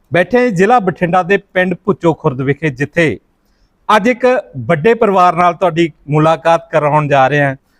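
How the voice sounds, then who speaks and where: A man speaks in a high voice with lively intonation and very even loudness. The sound is dry and close, with no echo. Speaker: YouTube interviewer. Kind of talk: interview questions.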